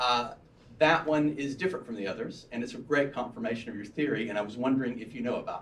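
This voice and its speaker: At a very fast pace, a man with an American accent talks in a medium pitch with ordinary pitch variation, big swings in loudness and audible room echo. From US South, Birmingham, Alabama. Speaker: audience member asking a question. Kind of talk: audience question. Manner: animated.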